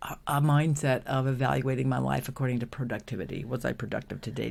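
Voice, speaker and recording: Her pitch very deep and low, a woman is speaking. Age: 60s. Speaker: songwriter and lifelong musician. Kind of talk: casual interview conversation. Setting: podcast interview.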